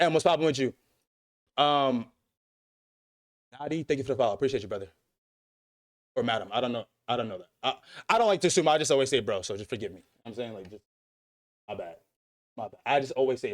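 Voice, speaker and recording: Lively in intonation and very fast in pace, a man speaks with big swings in loudness and long, frequent pauses. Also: medium pitch for a man. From New York City. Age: 20s. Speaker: streamer. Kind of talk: livestream chat. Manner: animated.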